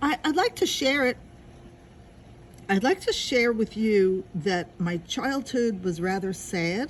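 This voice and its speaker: With an American accent, a woman speaks somewhat breathily at a very slow pace, leaving long, frequent pauses while her pitch swings very widely. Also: fairly high pitch for a woman. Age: 70s. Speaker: interviewee. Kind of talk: interview.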